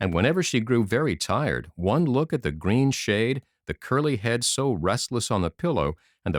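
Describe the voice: Against a quiet background, the speaker offers plain reading aloud with lively intonation.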